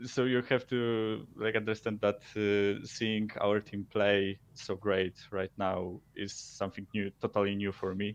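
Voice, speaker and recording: A man talks at a fairly slow pace. His fairly low voice stays monotone, with flat intonation. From Poland. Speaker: caller. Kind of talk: casual chat. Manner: halting.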